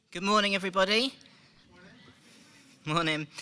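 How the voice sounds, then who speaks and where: A man's bright, sharp tone with a British accent. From UK. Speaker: software developer. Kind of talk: conference presentation. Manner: frequent ums.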